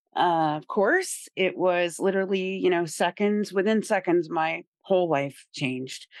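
A woman speaks in a normal speaking voice at medium pitch. The sound is dry and close, with no echo. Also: quiet background. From Indiana, rural small town. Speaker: person in recovery, peer recovery worker. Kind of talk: recovery testimony interview.

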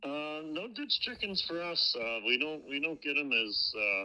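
Man with a Wisconsin accent, fairly high pitch, very wide pitch swings and a moderate pace. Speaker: caller. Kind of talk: casual chat. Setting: phone call.

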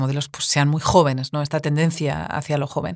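A woman with a very deep, low voice talks at a fairly quick pace. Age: 40s. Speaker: podcast host and writer. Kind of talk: interview.

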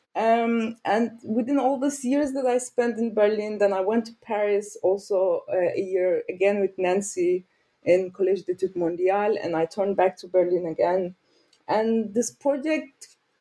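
At a fairly slow pace, a woman with a Turkish accent speaks at a fairly high pitch in a dark, mellow tone. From Turkey, Mediterranean region. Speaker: sociologist and author. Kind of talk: interview. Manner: halting, with many fillers.

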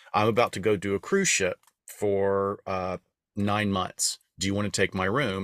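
A man with an American accent and fairly low pitch on a very clean recording with a silent background. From US Deep South, Appalachian area. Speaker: podcast co-host, former performer. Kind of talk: casual storytelling.

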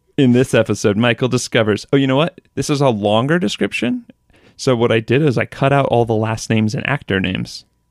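A man's plain, everyday voice at medium pitch, ordinary pitch variation, a fairly quick pace, and a dry, close sound with no echo. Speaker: podcast host. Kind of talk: casual chat.

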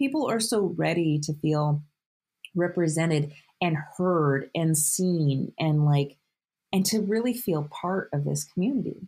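At a fairly slow pace, a woman speaks in a somewhat breathy, fairly low voice with lively intonation and very even loudness. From rural Canada and Vermont. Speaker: author and hiker. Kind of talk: interview.

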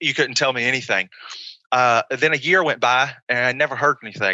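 A man with an American accent and a normal speaking voice talks at a fairly quick pace in a medium pitch, with fairly even intonation. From small-town North Carolina. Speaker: pro wrestler. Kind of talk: interview. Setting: video call.

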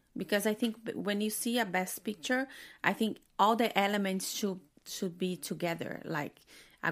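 Speaking at a moderate pace, a woman has a medium-pitched voice in a Portuguese accent. The recording is very clean, with a silent background. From Brazil. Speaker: film critic. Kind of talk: casual chat. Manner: halting.

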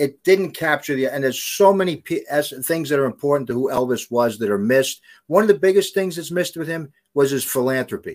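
Speaking at a fairly quick pace, a man with a New York accent uses a fairly high pitch and lively intonation. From the Bronx, New York. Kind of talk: casual interview. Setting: video call.

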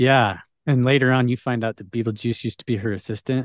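A man talks at a fairly quick pace in a normal speaking voice. His pitch sits in the medium range. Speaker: podcast guest. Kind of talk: casual chat.

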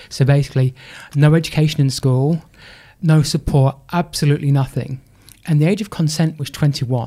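A man's somewhat breathy voice with a dark, mellow tone, fairly high pitch and an English accent. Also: fairly even intonation, moderate pace. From England, Lincolnshire. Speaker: sports charity CEO and speaker. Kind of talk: interview.

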